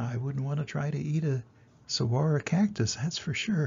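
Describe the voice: The voice has a husky, rough edge with vocal fry and a slightly mellow tone. It moves at a moderate pace with ordinary pitch variation. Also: man, fairly high pitch for a man.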